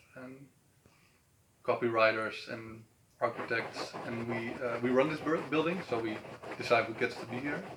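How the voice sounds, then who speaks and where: Over noticeable background noise, a man speaks with a Dutch accent. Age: 30s. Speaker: event organizer. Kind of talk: interview. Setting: on camera in an office building. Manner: halting.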